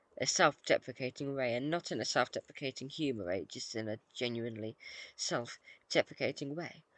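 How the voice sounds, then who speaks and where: The speaker mumbles at a moderate pace in a British accent against a quiet background. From Britain. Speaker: gaming YouTuber. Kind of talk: casual gameplay commentary. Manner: mumbling; hesitant, many fillers.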